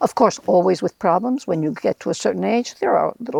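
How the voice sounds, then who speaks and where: A woman speaks at a medium pitch with ordinary pitch variation and some vocal fry. The sound is dry and close, without echo. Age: 70s. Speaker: interviewee, host's mother. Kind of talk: casual interview. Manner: halting.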